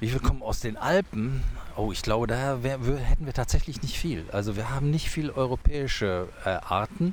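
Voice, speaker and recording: Using an ordinary speaking voice with lively intonation, a man talks at a moderate pace and medium pitch. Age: 60s. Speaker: zoo director. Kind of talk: casual interview. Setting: outdoors on a bench.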